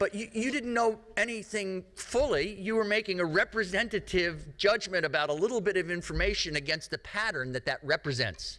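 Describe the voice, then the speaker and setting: A man with an American accent talks in a high voice with lively intonation. He raises and projects his voice. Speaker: risk communication speaker. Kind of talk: lecture. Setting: stage with audience. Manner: slow.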